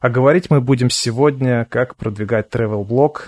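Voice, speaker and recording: Against a quiet background, a man speaks in a calm tone at a moderate pace, with medium pitch, ordinary pitch variation and a dry, close sound with no echo. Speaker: podcast host, SEO expert. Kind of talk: interview. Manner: calm, quiet listener.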